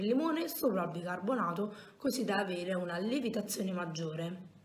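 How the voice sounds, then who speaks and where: At a fairly quick pace, a woman speaks amid audible room echo and light background noise. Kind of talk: tutorial. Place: home room. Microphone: phone near.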